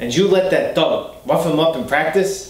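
A man talks fairly slowly with a Boston accent. Audible room echo surrounds his voice. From Boston area, USA. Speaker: character actor. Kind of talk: acting scene, self-tape. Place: home room.

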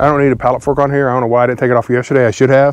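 A man talks very fast in a dry sound with no echo against a quiet background. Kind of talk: casual vlog chat. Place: farm machine. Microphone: lapel.

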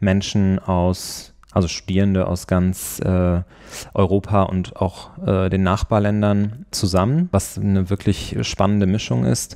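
A man's very slow delivery at a fairly low pitch, with a dark, mellow tone and fairly even intonation. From Rhineland, Germany (Neuss near Düsseldorf). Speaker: junior lawyer. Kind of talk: interview. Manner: hesitant with fillers.

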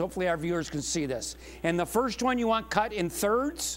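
A man at a moderate pace, high-pitched with lively intonation. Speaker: TV math teacher host. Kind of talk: tutorial. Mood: friendly, patient. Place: studio.

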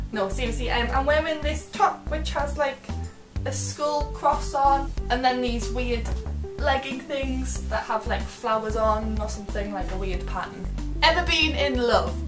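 With clear music in the background, a woman speaks at a fairly slow pace in a Geordie accent. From Northeast England. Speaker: vlogger. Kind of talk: casual talk to camera. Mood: light, playful, slightly giggly. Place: home room.

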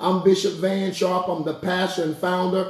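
A man's high-pitched voice at a moderate pace, with audible room echo. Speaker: pastor. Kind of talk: sermon-style introduction. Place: home room. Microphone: phone near.

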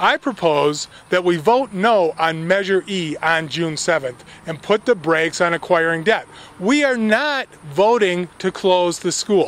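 A man's high-pitched voice with lively intonation, a fairly slow pace and a dry sound with no echo. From US West Coast, California. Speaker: local political campaigner. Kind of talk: political speech to camera. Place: garden. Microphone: handheld.

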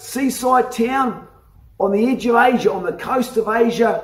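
Speaking slowly with ordinary pitch variation, a man's extremely high-pitched voice carries audible room echo.

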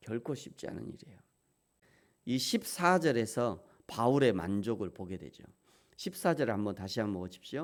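Pausing long and often, a man at a medium pitch talks at a moderate pace, with very wide pitch swings and big shifts in loudness. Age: 50s. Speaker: pastor. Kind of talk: sermon.

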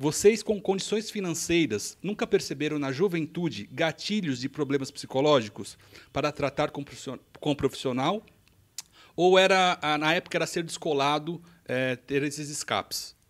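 Over a quiet background, a man speaks at a moderate pace with a fairly high pitch and ordinary pitch variation. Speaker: podcast producer reading viewer questions. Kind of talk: reading aloud. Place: studio. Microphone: studio mic.

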